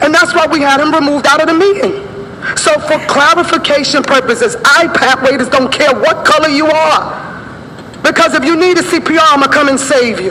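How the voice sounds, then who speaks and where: With an American accent, a woman speaks in a raised, projected voice at a high pitch, with lively intonation and very even loudness. Noticeable background noise and audible room echo surround her. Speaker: community activist. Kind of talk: public comment at council meeting. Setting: council meeting at microphone. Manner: fast; animated.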